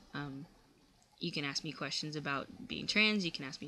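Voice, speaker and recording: A woman's very deep, low voice with vocal fry, a bright, sharp tone and a moderate pace. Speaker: video blogger. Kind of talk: vlog monologue. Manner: halting, many fillers.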